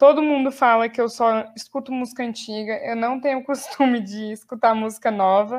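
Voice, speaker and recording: This is a normal speaking voice from a woman at a moderate pace, with hardly any pauses. Her intonation is fairly even. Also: fairly high pitch for a woman. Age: 20s. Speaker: podcast co-host, law student and English teacher. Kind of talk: casual chat.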